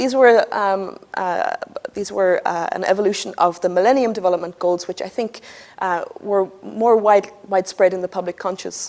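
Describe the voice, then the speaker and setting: With an Irish accent, a woman talks at a moderate pace with ordinary pitch variation against noticeable background noise. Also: medium pitch for a woman. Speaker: energy analyst. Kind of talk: conference presentation.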